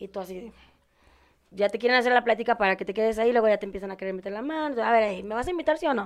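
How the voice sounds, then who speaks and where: Her pace is very fast, and her loudness swings a lot. This woman has a fairly high pitch with ordinary pitch variation. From Puebla, Mexico. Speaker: exotic dancer. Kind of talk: casual chat.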